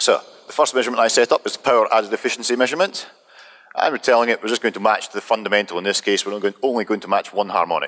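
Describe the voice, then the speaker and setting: Noticeable background noise sits behind a man's voice. He speaks at a medium pitch and a very fast pace. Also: ordinary pitch variation. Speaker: presenter of software demo. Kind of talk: technical presentation.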